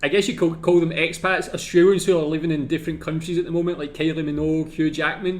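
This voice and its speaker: Pitched high with a Scottish accent, a man rattles along at a very fast pace with monotone, flat intonation and hardly any pauses. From Scotland. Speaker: YouTube reactor. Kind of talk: video reaction commentary. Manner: casual, filler-heavy.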